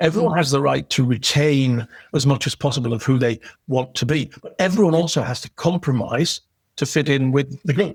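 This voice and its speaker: A man speaks with a northeast English accent, fairly high in pitch and somewhat breathy. His pace is fairly quick with ordinary pitch variation, and the sound is dry and close, with no echo. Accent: modified northeast English. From northeast England. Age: 60s. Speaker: professional and podcast guest. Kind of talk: interview conversation. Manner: repetitive, with frequent restarts.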